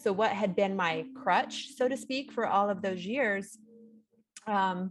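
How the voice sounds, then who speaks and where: A normal speaking voice from a woman, medium in pitch, with ordinary pitch variation. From small-town Ontario, Canada. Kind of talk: casual live-stream chat. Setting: live stream at home, sitting next to co-host.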